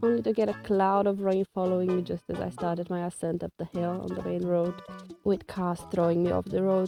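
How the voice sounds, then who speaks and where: Music plays behind a fairly quick speaker with ordinary pitch variation. The sound is dry and close, without echo. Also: woman, fairly low pitch for a woman. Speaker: van life vlogger. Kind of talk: travel vlog narration.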